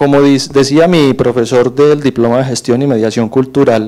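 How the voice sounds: A man speaks at a moderate pace with a medium pitch. His tone is dark and mellow, and his intonation stays fairly even.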